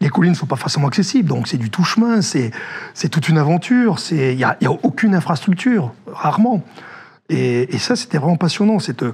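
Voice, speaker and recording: A man speaks at a fairly quick pace and a fairly high pitch. His pitch swings very widely. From northern France. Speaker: former army officer, security director. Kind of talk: interview. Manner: hesitant, many fillers.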